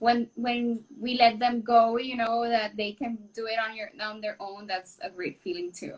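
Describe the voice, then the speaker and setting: In a Spanish accent, a woman speaks at a high pitch. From Puerto Rico. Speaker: renal dietitian. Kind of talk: casual chat.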